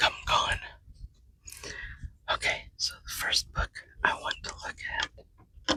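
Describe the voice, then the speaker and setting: Whispering at a very slow pace, broken by long, frequent pauses. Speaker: genealogy podcast host. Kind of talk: casual vlog narration. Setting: library. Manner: quiet.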